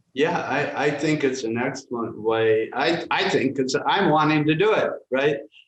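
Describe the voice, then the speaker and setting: Audible room echo surrounds a man speaking at a fairly high pitch. He keeps a moderate pace with hardly any pauses and ordinary pitch variation. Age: 70s. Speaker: filmmaker. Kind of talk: interview. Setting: live stream. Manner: halting.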